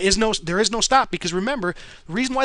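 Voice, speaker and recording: Speaking very fast in a raised, projected voice, the man has a high pitch, a bright, sharp tone and ordinary pitch variation. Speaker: trading podcast host. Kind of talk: tutorial. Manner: casual, with fillers.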